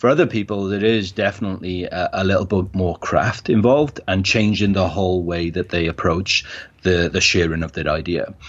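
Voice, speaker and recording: In a South Wales accent, a man talks at a fairly quick pace with a very deep, low pitch. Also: ordinary pitch variation. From Wales, Cardiff. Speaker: event organizer. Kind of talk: casual interview.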